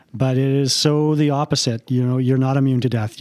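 In a Canadian accent, a man with a dark, mellow tone and medium pitch talks at a fairly quick pace in monotone, flat intonation on a very clean recording with a silent background. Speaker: funeral director and podcast host. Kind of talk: casual conversational interview.

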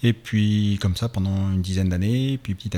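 A man speaks at a fairly quick pace with a dark, mellow tone, a fairly low pitch and fairly even intonation. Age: 40s. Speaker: amateur cross triathlon champion and physiotherapist. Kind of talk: radio interview. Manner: halting, many hesitations.

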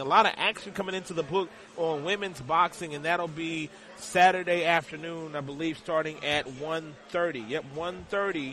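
Noticeable background noise sits behind a man with a high pitch who speaks at a moderate pace with ordinary pitch variation. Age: 40s. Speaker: sports betting radio host. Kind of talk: live radio show. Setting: live broadcast from a casino sportsbook.

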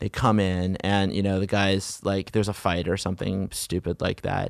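Against a quiet background, a man with an American accent speaks at a moderate pace in a fairly low voice. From US, Virginia / Washington DC area. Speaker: civil rights advocate and lobbyist. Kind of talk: interview.

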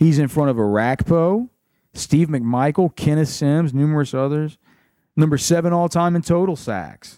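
A man with an American accent and a dark, mellow tone speaks at a moderate pace in a fairly high pitch with ordinary pitch variation, on a very clean recording with a silent background. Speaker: college sports podcast host. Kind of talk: solo podcast monologue.

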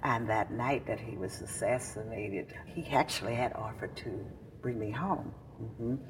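A woman's very deep, low voice with a Mississippi accent. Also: ordinary pitch variation, moderate pace. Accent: Southern US, Mississippi. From Mississippi, US South. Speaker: civil rights veteran. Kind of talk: oral history interview. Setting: recorded in Jackson, Mississippi. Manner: halting.

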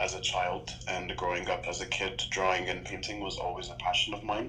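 A man speaks at a moderate pace over noticeable background noise, with audible room echo. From Canada, Toronto. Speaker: iconographer and painter. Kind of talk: interview. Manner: calm.

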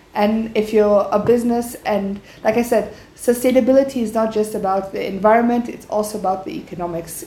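Room echo is audible as a woman talks at a fairly quick pace in a fairly high voice with fairly even intonation. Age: 20s. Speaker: entrepreneur. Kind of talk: interview.

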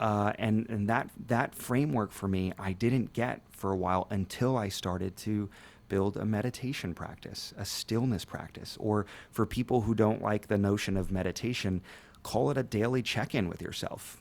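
He has an unremarkable speaking voice with a fairly low pitch. This man's moderate pace comes with ordinary pitch variation. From US, Ecuadorian American family. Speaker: tech and retail business leader. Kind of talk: casual interview.

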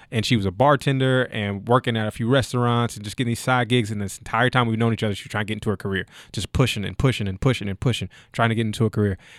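The speech moves at a very fast pace with fairly even intonation. The recording is very clean, with a silent background. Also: man, medium pitch for a man. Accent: American. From US South (Kentucky). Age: 20s. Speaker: entrepreneur and football scout. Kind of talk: casual interview.

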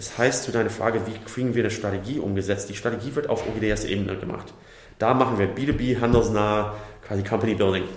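Fairly quick, fairly even speech from a man at medium pitch, with audible room echo and noticeable background noise. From USA. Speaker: startup company builder executive. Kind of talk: interview.

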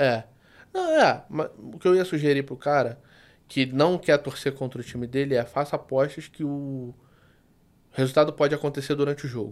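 With a fairly high pitch, a moderate pace and fairly even intonation, a man speaks with long, frequent pauses and big swings in loudness on a very clean recording with a silent background. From Rio de Janeiro, Brazil. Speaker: sports betting tipster. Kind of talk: casual interview.

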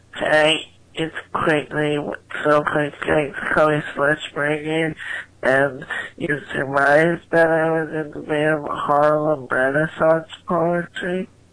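A strained, put-on character voice at a middle pitch and a fairly slow pace.

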